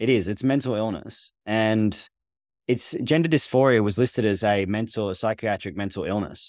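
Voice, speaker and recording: In a very clean recording with a silent background, a man with a medium-pitched, a plain, everyday voice talks at a moderate pace with ordinary pitch variation. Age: 40s. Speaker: therapist. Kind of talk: casual chat.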